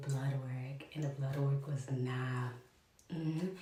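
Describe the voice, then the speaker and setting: A woman talks at a moderate pace with a very deep, low pitch. Room echo is audible, and background noise is noticeable. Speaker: vlogger. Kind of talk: casual vlog talk to camera. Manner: chatty, hesitant with fillers.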